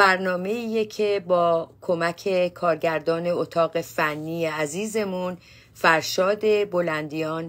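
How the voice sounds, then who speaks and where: Very slowly, a woman speaks in a fairly low voice with fairly even intonation. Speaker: psychotherapist hosting a show. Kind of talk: talk show host introduction. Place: office. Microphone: phone near.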